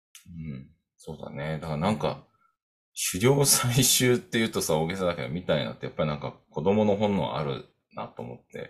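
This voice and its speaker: A man's very deep, low voice with very wide pitch swings. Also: fairly quick pace, big swings in loudness. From Tokyo, Japan. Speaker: podcast co-host, coaching program faculty. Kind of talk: casual chat. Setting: home, upstairs room.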